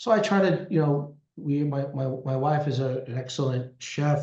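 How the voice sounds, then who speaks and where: In a Brooklyn accent, a man speaks at a moderate pace with a medium pitch, ordinary pitch variation, a dark, mellow tone and a somewhat breathy quality. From Brooklyn, New York (Canarsie). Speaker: lawyer and business strategist. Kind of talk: interview. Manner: halting, many repetitions.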